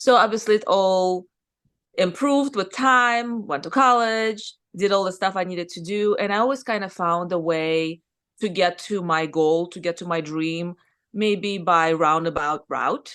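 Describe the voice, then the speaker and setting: In a Russian accent, a woman at medium pitch speaks at a fairly slow pace with ordinary pitch variation over a quiet background. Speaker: surgeon and business owner. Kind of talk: podcast interview. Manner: casual, conversational.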